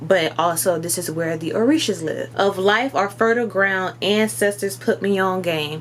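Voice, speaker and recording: Over noticeable background noise, a woman with an American accent speaks at a medium pitch and a moderate pace, with an animated tone, lively intonation and hardly any pauses. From US South. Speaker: spiritual content creator. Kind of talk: casual commentary vlog.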